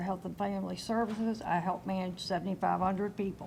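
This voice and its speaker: A woman with a Southern US accent, medium-pitched, somewhat breathy, at a fairly quick pace. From Kentucky, US South. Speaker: insurance agent, retired finance executive. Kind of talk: panel discussion.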